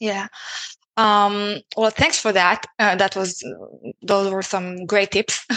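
In a quiet, dry, close recording with no echo, a woman with a non-native accent speaks very slowly at a medium pitch, her tone bright and sharp, her intonation flat and monotone, with long, frequent pauses. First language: not English. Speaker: podcast host and sourcing specialist. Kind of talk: casual conversational interview.

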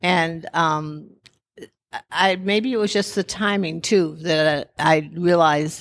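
Very slowly, a woman with a fairly low voice speaks with ordinary pitch variation in a very clean recording with a silent background. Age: 70s. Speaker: person with Parkinson's. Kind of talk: interview testimony.

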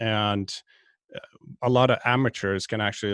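In a Swedish accent, the speaker proceeds at a fairly slow pace. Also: man. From Sweden, outside Stockholm. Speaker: golf fitness director, podcast co-host. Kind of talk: casual chat.

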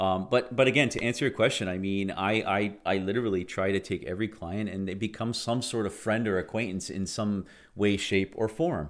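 With a Canadian accent and an unremarkable speaking voice, a man of fairly low pitch talks at a fairly quick pace with hardly any pauses and ordinary pitch variation, in a very clean recording with a silent background. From Niagara region, Ontario, Canada. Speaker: real estate agent. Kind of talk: interview.

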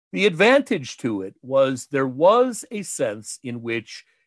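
A man's pitch swings very widely in a dry, close recording with no echo. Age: 60s. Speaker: professor of television and popular culture. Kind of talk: interview.

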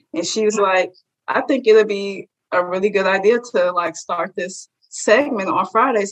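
Here is a woman with a plain, everyday voice at a medium pitch. She talks at a moderate pace with ordinary pitch variation. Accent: American. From Chicago, west side. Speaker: journalism graduate student. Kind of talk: interview.

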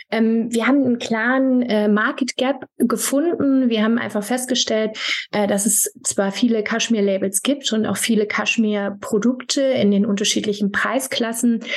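A normal speaking voice from a woman: fairly high pitch, fairly even intonation, very even loudness, moderate pace and hardly any pauses. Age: 30s. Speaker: fashion brand founder. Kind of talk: interview.

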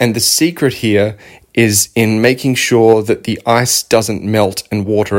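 An Australian accent comes from a man at a medium pitch. He keeps a moderate pace. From Victoria, Australia. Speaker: nutrition coach and podcast host. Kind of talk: casual solo monologue. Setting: home office couch.

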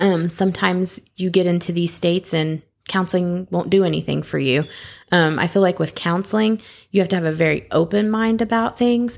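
On a very clean recording with a silent background, the speaker uses an ordinary speaking voice at a fairly quick pace with ordinary pitch variation. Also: woman, fairly low pitch for a woman. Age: 30s. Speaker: podcast guest sharing her experience with depression. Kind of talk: casual chat.

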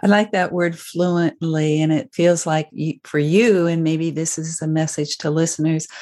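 Against a quiet background, a woman with an unremarkable speaking voice talks fairly slowly, her fairly low pitch held to fairly even intonation. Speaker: podcast host psychologist. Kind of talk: interview conversation.

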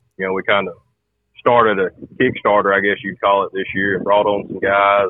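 A man with a Southern US accent speaks at a moderate pace in a fairly low pitch with fairly even intonation. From Georgia, US. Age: 20s. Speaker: farmer and hunter. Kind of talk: casual chat. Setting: phone call.

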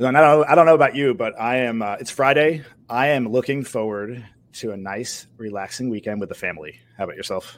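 An unremarkable speaking voice moves at a fairly quick pace with ordinary pitch variation and big swings in loudness in a very clean recording with a silent background. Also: man, medium pitch for a man. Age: 40s. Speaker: podcast co-host and producer. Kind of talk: casual interview.

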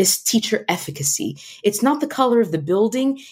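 With an American accent, a woman speaks at a moderate pace in a fairly high, somewhat breathy voice with a dark, mellow tone and very wide pitch swings. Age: 30s. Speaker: nonprofit founder and educator. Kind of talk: interview.

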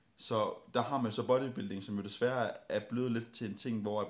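A man speaks at a moderate pace and medium pitch, his intonation monotone and flat. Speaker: bodybuilding podcast host. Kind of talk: casual chat. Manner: loud, generally higher volume.

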